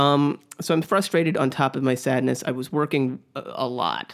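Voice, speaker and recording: This man has a normal speaking voice, fairly high in pitch. He talks at a moderate pace with ordinary pitch variation. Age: 30s. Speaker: podcast co-host, dog walker. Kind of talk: casual storytelling chat.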